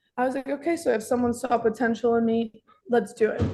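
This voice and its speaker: A woman talks at a very fast pace. Her voice is fairly high, with fairly even intonation. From Russia (Moscow), moved to Miami at nine. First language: Russian. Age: 20s. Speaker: dessert shop manager. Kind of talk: career talk interview. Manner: casual, some hesitations.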